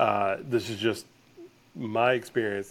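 A man speaks with a Southern US accent. His pace is very slow. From US South, north Georgia (Blue Ridge). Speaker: marketing agency founder. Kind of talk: podcast interview.

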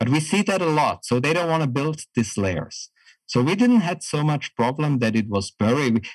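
With a German accent, a man speaks at a moderate pace and fairly high pitch, making very wide pitch swings at very even loudness, in a dry, close sound with no echo. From Germany, rural small town. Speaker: project management consultant. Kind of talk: interview. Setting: remote call.

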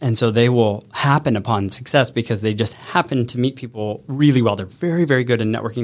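A man speaks fairly quickly in an unremarkable speaking voice of medium pitch with ordinary pitch variation. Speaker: business coach. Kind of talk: casual interview and live coaching session. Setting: studio.

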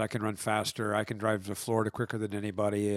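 Here a man speaks fairly low. His intonation is monotone and flat. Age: 60s. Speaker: pastor, host's husband. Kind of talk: casual chat. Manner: halting.

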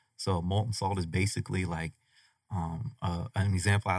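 Somewhat breathy and fairly low-pitched, a man's voice comes through with a dry, close sound and no echo. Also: very clean recording, silent background. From Colorado Springs, Colorado. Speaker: chemist and technology venture developer. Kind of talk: radio interview.

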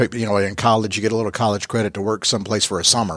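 A man talks at a very fast pace with a Southern US accent, his pitch fairly low. The recording is very clean, with a silent background. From US South (Georgia). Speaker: podcast host. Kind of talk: casual interview. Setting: office space, in person.

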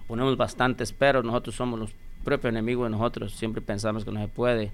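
The man's voice sits at a medium pitch with monotone, flat intonation. He talks at a fairly quick pace. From Michoacán, Mexico. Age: 40s. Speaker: business owner. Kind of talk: interview.

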